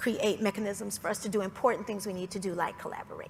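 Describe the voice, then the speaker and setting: A woman talks in a Southern accent over noticeable background noise. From Georgia, US South. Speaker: foundation executive. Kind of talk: panel discussion.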